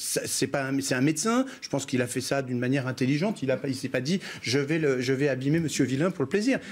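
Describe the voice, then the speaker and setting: Pitch varies in an ordinary way as the words rush by very fast. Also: man, fairly high pitch for a man. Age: 60s. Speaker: local politician. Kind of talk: TV news debate. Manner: halting, many repetitions.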